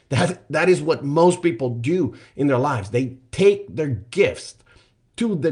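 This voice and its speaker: A man speaks in a somewhat breathy voice with lively intonation. The background is quiet. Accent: non-native. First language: not English. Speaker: life coach, podcast host. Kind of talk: solo motivational podcast monologue. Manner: conversational with frequent fillers.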